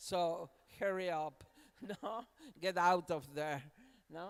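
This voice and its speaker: Words come at a very slow pace in a Spanish accent. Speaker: university academic. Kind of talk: panel discussion. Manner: halting.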